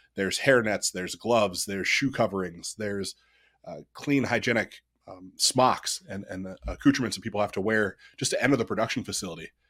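The speaker has a US Midwestern accent, ordinary pitch variation and a fairly quick pace. The recording is very clean with a silent background. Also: man. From Ohio, US Midwest. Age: 30s. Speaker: company CEO. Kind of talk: interview.

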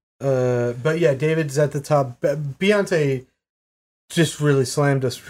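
In an American accent, a man speaks with a plain, everyday voice at a fairly high pitch, fairly slow and fairly even in intonation, on a very clean recording with a silent background. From Maine, US. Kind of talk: casual chat.

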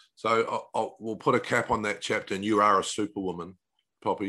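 A man with a New Zealand accent, fairly low in pitch, bright and sharp in tone, at a fairly quick pace against a quiet background. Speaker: podcast host. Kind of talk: interview, conversational. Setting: remote call across time zones.

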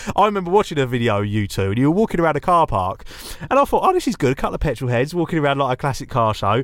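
Amid noticeable background noise, a man with an English accent races along at a very fast pace, his fairly high pitch swinging very widely. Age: 30s. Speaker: car content creator. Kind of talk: casual chat.

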